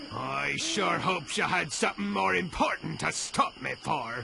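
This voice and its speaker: A man's put-on character voice at a moderate pace, over clear background noise. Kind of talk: pirate lingo. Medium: machinima. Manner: gruff, sarcastic.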